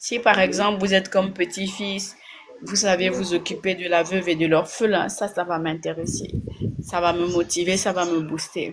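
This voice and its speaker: A woman speaks at a fairly slow pace with a fairly low pitch. Her intonation stays fairly even. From Gabon. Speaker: blogger / online commentator. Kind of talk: casual direct-to-camera monologue. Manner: hesitant, many fillers.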